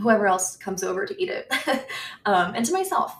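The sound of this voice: With an American accent, a woman speaks using vocal fry.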